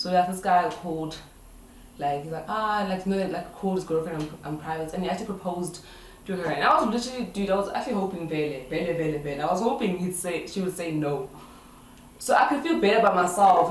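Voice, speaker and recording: Talking at a very fast pace with an animated tone, a woman uses a medium pitch and ordinary pitch variation, with audible room echo and noticeable background noise. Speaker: vlogger. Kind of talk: casual chat. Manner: loud.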